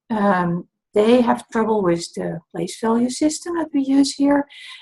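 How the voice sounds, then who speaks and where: Speaking at a fairly slow pace with a slight Dutch accent, a woman uses lively intonation in a somewhat breathy, dark, mellow tone. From Netherlands. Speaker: dyscalculia tutor. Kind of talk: talk to camera, introduction and explanation.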